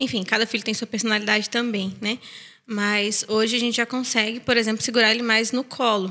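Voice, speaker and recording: A woman's fairly high, bright and sharp voice in a flat, monotone delivery. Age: 30s. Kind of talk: casual chat.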